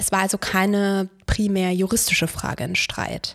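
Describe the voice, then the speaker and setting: Her pace fairly slow, a woman speaks at medium pitch in an ordinary speaking voice, the sound dry and close with no echo. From Brandenburg, eastern Germany. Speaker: lawyer. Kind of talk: scripted monologue. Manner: formal.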